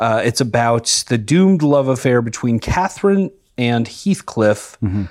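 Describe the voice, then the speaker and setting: The recording is very clean, with a silent background. A man with an unremarkable speaking voice talks fairly slowly at a medium pitch. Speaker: comedy podcast host. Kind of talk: comedic improv banter. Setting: recording with microphone.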